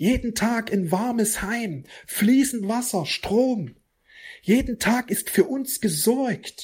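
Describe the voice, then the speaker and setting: The recording is very clean, and the background is silent. Words come at a very slow pace. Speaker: spiritual teacher and astrology host. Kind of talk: spiritual monologue.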